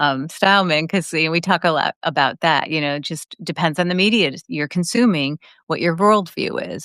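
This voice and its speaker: An ordinary speaking voice from a woman, fairly low in pitch with ordinary pitch variation, in a dry, close sound with no echo. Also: very clean recording, silent background. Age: 60s. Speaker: podcast host. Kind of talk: casual interview conversation.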